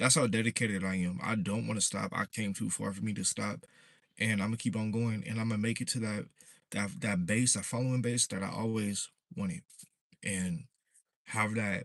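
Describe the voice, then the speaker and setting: A man with an American accent talks at a moderate pace in a relaxed tone. His pitch is fairly low, with ordinary variation. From Southern California. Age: 20s. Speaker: fishing content creator. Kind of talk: casual livestream talk. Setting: livestream. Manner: relaxed, casual.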